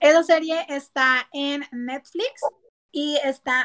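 A woman's voice shows ordinary pitch variation in a dry, close sound with no echo. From Monterrey, Nuevo León, Mexico. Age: 20s. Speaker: podcast co-host. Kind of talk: casual chat. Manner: animated.

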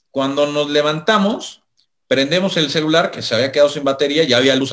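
The speaker talks at a fairly quick pace with a Mexican accent and ordinary pitch variation. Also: man. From Mexico. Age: 30s. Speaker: sports journalist. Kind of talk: casual interview.

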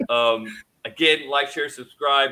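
A fairly high-pitched man with an American accent, speaking at a very slow pace. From Idaho. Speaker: podcast host and military medic. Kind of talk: casual interview. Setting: video call.

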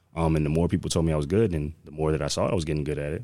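With an American accent, a man speaks very fast at a very deep, low pitch in a dark, mellow tone. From Connecticut, Manchester. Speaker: former college football player, athletic director, radio host. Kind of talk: casual interview.

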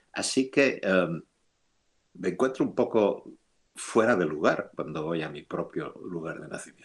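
A man with a Castilian accent speaks at a fairly slow pace and a fairly low pitch. His intonation is lively, broken by long, frequent pauses. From Spain, Madrid. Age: 70s. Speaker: theoretical physicist. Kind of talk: interview.

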